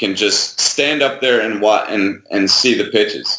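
A very slow delivery with a bright, sharp tone. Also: man. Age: 40s. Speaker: baseball swing instructor and product developer. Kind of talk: interview. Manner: halting.

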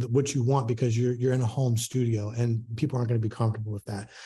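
With an American accent, a man speaks at medium pitch in a dark, mellow tone, somewhat breathy, with monotone, flat intonation. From US Mid-Atlantic (Baltimore). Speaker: boudoir photographer, studio owner. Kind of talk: interview. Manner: many fillers and repetitions.

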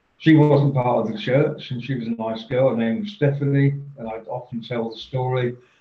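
A man with a medium-pitched voice speaks in a somewhat breathy way. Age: 60s. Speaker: professional speaker and author. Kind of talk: casual interview, storytelling.

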